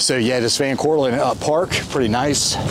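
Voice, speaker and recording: A man at a moderate pace with ordinary pitch variation, dry sound with no echo, and noticeable background noise. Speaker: travel vlogger. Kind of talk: casual vlog commentary. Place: open country. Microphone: phone near.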